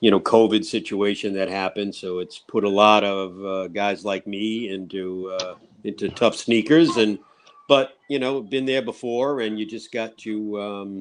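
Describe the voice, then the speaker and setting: Speaking at a fairly slow pace, a man with an American accent keeps a fairly low pitch and ordinary pitch variation. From southeastern Massachusetts, Fall River. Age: 60s. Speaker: singer and guitarist. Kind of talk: interview. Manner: hesitant, many fillers.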